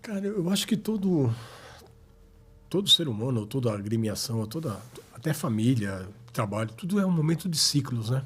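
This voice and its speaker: With long, frequent pauses, a man at medium pitch speaks at a moderate pace in a somewhat breathy voice with very wide pitch swings. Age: 60s. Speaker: football club historian. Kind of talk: podcast interview.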